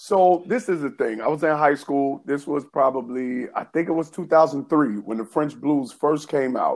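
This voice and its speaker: A man with an American accent talks in a normal speaking voice at a fairly high pitch. He keeps a moderate pace with hardly any pauses and ordinary pitch variation. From New York City. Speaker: podcast co-host. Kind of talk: casual chat.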